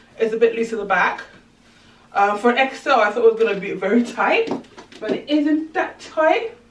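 A woman's fairly high voice with lively intonation and long, frequent pauses, set against light background noise and audible room echo. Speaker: fashion vlogger. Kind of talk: try-on haul vlog. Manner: fast; animated. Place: home room. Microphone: camera far.

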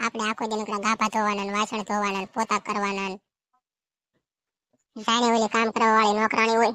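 In a very clean recording with a silent background, a woman does a cartoonish character voice at a fairly high pitch and a moderate pace, her intonation monotone and flat, the sound dry and close with no echo. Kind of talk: comic cartoon dialogue. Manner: whiny, complaining.

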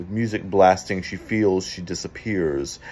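Speaking fairly slowly, a man has a very deep, low voice with a dark, mellow tone. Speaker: poetry reader. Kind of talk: poem reading aloud. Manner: measured, reflective. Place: home room. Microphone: phone near.

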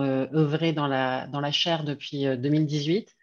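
At a very slow pace, a woman talks with fairly even intonation against a quiet background. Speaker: foundation representative. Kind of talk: closing remarks. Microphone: video call.

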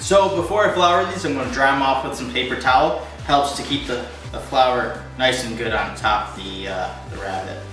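Clear music plays in the background, and the room echo is audible. A man speaks at a moderate pace. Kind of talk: cooking tutorial. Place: kitchen. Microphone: camera far.

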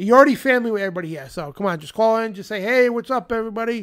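A man talks, and the background stays quiet. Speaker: talk show host. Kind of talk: late-night call-in broadcast. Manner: casual, rambling with fillers. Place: studio. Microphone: studio mic.

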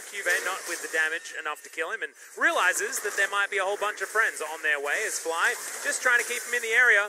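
Over noticeable background noise, a man with a high pitch talks at a very fast pace in a raised, projected voice. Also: lively intonation. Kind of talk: esports play-by-play commentary. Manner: fast, excitable play-by-play delivery; conversational, laughs while casting.

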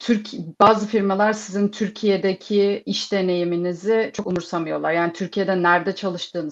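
Against a quiet background, the voice stays monotone with flat intonation. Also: woman. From Turkey. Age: 30s. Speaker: security program manager; panelist. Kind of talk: online panel discussion. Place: home room. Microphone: video call.

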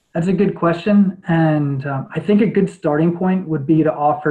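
An American-accented man, somewhat breathy, at a moderate pace with ordinary pitch variation over a quiet background. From New York. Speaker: lawyer and judicial candidate; candidate. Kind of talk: interview answers. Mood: calm, formal. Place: home room. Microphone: webcam.

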